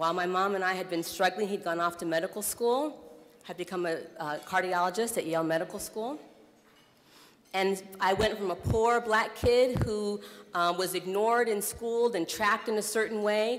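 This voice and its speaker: An unremarkable speaking voice, a woman's, talks at a moderate pace with medium pitch and ordinary pitch variation. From US Midwest (Iowa). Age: 30s. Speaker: nonprofit executive director, keynote speaker. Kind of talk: keynote speech. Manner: conversational with frequent fillers.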